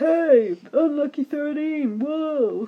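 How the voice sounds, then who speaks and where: A put-on character voice at a high pitch. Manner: weird announcer-style voiceover.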